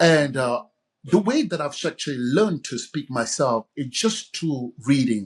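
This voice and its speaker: A man speaks at a fairly slow pace in a fairly high, somewhat breathy voice. His intonation is lively. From Cameroon. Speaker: author and communication coach. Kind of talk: podcast interview. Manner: hesitant, with filler words.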